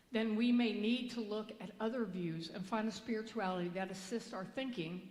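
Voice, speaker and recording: Audible room echo surrounds a woman with a fairly high, somewhat breathy voice. She speaks at a moderate pace with ordinary pitch variation. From Kentucky. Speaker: minister. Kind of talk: sermon. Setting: church. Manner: halting.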